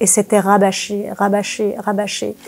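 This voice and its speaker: The voice belongs to a woman with a medium pitch. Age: 60s. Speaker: former religious group member giving testimony. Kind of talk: testimony interview. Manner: hesitant, many fillers.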